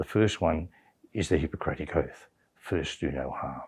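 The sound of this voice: A man speaks at a moderate pace with an extremely low pitch and ordinary pitch variation. His tone is slightly mellow with a slightly husky edge.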